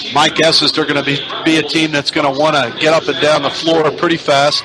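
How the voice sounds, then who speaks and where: Over noticeable background noise, a man with a fairly high pitch talks at a fairly quick pace in a monotone, flat intonation. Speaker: radio sports play-by-play announcer. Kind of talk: pregame sports broadcast talk.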